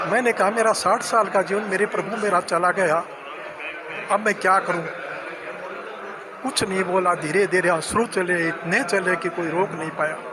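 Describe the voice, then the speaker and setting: A man with a high pitch uses a raised, projected voice and fairly even intonation, leaving long, frequent pauses over noticeable background noise. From Rajasthan, Churu area. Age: 80s+. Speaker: retired pensioner. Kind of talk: interview. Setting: pensioners' welfare centre.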